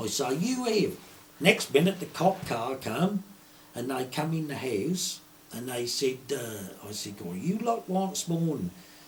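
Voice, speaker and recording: This man has a strong Suffolk accent and a somewhat breathy voice. His pitch swings very widely. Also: fairly high pitch for a man, fairly slow pace. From Suffolk, England. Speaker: retired poacher. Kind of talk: storytelling. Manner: broad dialect speech.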